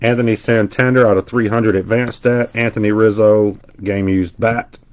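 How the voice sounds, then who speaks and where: A man speaks with a Southern US accent in a medium pitch. His intonation is fairly even and his pace moderate. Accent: Southern US twang. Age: 40s. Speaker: card breaker streamer. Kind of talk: live stream card break commentary. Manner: casual, chatty.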